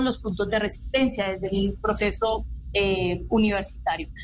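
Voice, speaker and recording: This woman talks at a fairly slow pace with a somewhat breathy, fairly high voice. Her words carry an audible room echo. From Colombia, Cali (Pacific region). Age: 20s. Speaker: youth advisor to the government, student leader. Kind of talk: radio interview. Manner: halting, many fillers and repetitions.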